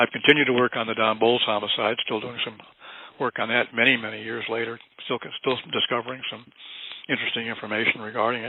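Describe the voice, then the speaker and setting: Very fast, monotone and flat male speech over noticeable background noise. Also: medium pitch for a man. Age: 80s+. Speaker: investigative researcher. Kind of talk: interview. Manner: halting.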